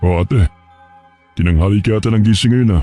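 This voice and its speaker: Putting on a character voice, a man talks at a fairly low pitch and fairly quick pace, recorded dry and close with no echo over faint background music. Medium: read story.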